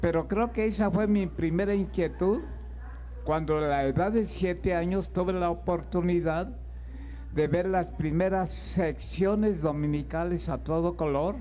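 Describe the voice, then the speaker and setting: A man speaks at a fairly slow pace, his loudness very even. Room echo is audible. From Mexico, Toluca. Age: 90s. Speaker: illustrator. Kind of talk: interview at a book fair. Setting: book fair stage with audience.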